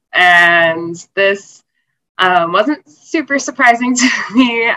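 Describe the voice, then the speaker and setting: With an American accent, a woman speaks in a bright, sharp tone with lively intonation. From North Carolina, US. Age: 20s. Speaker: cancer survivor and nonprofit founder. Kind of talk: interview.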